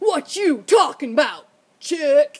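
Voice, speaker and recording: An extremely high-pitched, put-on character voice. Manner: gruff, tough.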